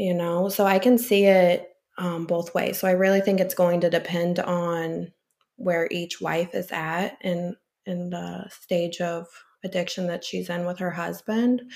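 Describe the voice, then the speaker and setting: At a fairly slow pace, a woman with an American accent uses a plain, everyday voice, fairly low in pitch with fairly even intonation. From US Midwest, St. Louis area. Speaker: addiction counselor. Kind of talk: casual interview.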